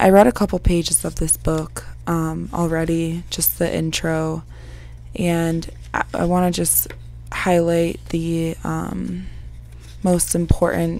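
A woman at a very slow pace in a dry sound with no echo. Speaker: vlogger. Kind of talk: casual vlog chat. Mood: calm, reflective, subdued. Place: home room. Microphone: lapel.

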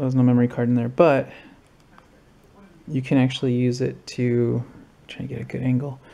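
Speaking at a moderate pace is a man. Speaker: vlogger. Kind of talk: casual gear walkthrough. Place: home room.

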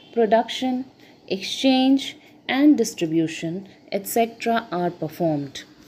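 A woman's somewhat breathy, dark, mellow voice, fairly high in pitch, with very wide pitch swings. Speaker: economics lecturer. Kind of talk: lecture.

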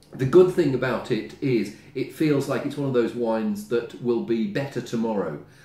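The recording has audible room echo. A man talks at a moderate pace. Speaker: wine reviewer. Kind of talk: casual tasting review to camera. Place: home room. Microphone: camera far.

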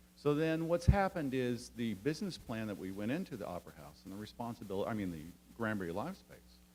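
Speaking at a very fast pace, a man lets his pitch swing very widely. His loudness also rises and falls a lot. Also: medium pitch for a man. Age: 50s. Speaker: theater company director. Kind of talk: public meeting testimony. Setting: city council meeting.

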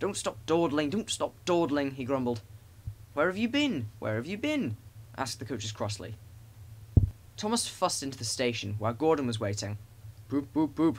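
A man with an animated, gentle tone and a somewhat breathy quality speaks at a moderate pace and medium pitch, his pitch swinging very widely between long, frequent pauses. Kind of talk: children's story audiobook reading. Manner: animated storyteller, gentle and warm, voicing engine characters.

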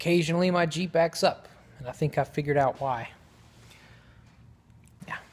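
Through noticeable background noise, a man speaks at a moderate pace. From American, southern. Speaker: radio personality audition, welder, comedian. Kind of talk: radio audition, comedic monologue. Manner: comedic, quirky, energetic. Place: car. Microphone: phone near.

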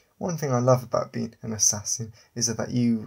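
Delivered at a moderate pace, the voice sounds somewhat breathy. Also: man. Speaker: audiobook narrator and author. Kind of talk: dramatic first-person audiobook narration of a sci-fi assassin story.

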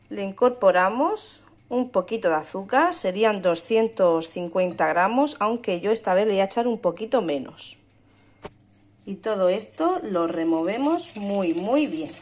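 A woman in a medium pitch talks at a fairly slow pace. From Murcia, Spain. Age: 20s. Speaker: mother and home cook vlogger. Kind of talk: recipe instructions. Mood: calm, friendly. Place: kitchen. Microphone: phone near.

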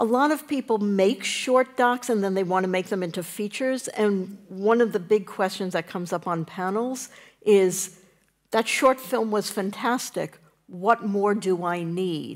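A woman speaks at a fairly slow pace with ordinary pitch variation against a quiet background. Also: medium pitch for a woman. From New York. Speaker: documentary producer; panelist. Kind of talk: panel discussion. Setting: stage with audience. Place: stage.

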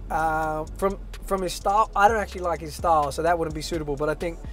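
Talking at a very fast pace, a man sounds dry with no echo while faint music plays behind him. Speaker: interview guest. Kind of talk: casual interview answer. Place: car.

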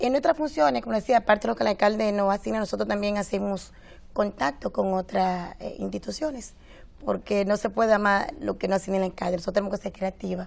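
Lively in intonation, the woman speaks very fast. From Dominican Republic. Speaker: deputy mayor. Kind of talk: TV interview. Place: studio.

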